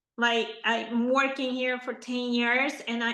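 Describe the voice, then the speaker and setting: A raised, projected voice with a bright, sharp tone speaks at a fairly slow pace over audible room echo. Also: woman. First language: not English. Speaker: podcast host, architect. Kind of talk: interview.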